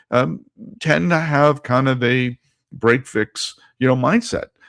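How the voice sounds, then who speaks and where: On a very clean recording with a silent background, dry and close with no echo, a man speaks at a medium pitch with vocal fry and lively intonation. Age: 60s. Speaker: marketing consultant and podcast host. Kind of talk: podcast monologue with slides. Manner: casual, halting with fillers.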